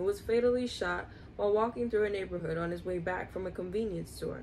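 Some light noise sits in the background. Over it, a woman talks. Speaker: video host reading aloud. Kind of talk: reading aloud. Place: home room. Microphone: phone near.

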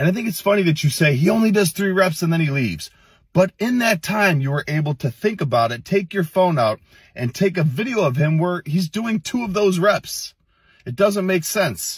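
A man talks at a moderate pace in a dry sound with no echo, over a quiet background. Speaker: fitness content creator. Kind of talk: reaction commentary. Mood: irritated, scolding. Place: car. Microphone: phone near.

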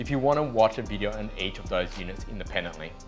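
Talking very fast, a man is heard over music that comes through clearly in the background. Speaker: presenter. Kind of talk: tutorial. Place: studio.

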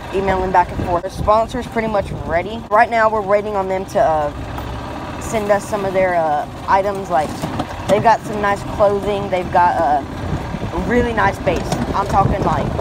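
The recording sounds dry with no echo, though noticeable background noise is present. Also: moderate pace. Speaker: fishing channel vlogger. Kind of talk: casual vlog chat. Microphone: phone near.

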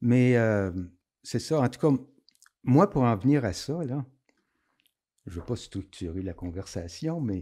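A man speaks at a medium pitch in a dark, mellow tone, with very wide pitch swings. His pace is fairly slow against a quiet background. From Quebec, Outaouais (Hull area); Quebec. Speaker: former concert venue programmer; podcast guest. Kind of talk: casual interview. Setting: studio, drinking beer. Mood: lively, animated storytelling. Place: studio. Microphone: studio mic.

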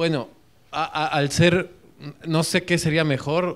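Over a quiet background, a man with a Mexican accent speaks at a very slow pace. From Mexico. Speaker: audience member. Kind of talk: audience discussion. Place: classroom.

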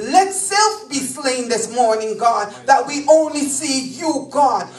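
A woman with a high voice speaks at a fairly slow pace, with audible room echo and light background noise. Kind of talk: public prayer. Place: church.

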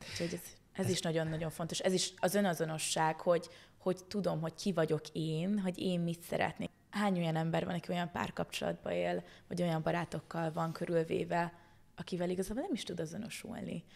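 A woman talks at a very fast pace with fairly even intonation. Her fairly low voice carries vocal fry. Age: 20s. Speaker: spiritual energy teacher; podcast guest. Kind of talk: casual chat. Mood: warm, smiling. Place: studio. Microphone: studio mic.

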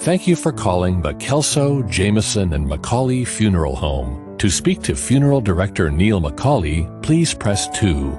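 A man with an American accent speaks in a very deep, low pitch, using very wide pitch swings at a fairly slow pace. He leaves hardly any pauses, with music in the background. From United States, Midwest. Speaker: voice actor. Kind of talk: phone greeting and on-hold read.

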